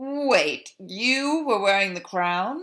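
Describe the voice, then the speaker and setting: A woman puts on a character voice, fairly high in pitch, with very wide pitch swings. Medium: read story. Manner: blunt, plainspoken.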